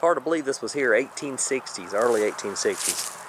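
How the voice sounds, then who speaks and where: A man with a Southern US accent at a moderate pace, ordinary pitch variation, and noticeable background noise. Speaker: urban explorer vlogger. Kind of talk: casual vlog narration. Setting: outdoors.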